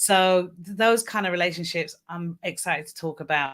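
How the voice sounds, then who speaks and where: A woman at a fairly low pitch and a moderate pace, with fairly even intonation, in a very clean recording over a silent background. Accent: British. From United Kingdom. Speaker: mindset coach. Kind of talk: live panel discussion.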